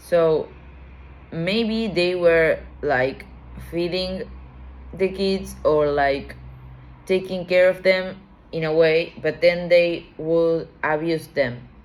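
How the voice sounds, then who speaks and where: At a very slow pace, a woman with a non-native accent speaks with fairly even intonation and long, frequent pauses. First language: not English. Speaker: tarot reader. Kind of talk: tarot reading. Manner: halting.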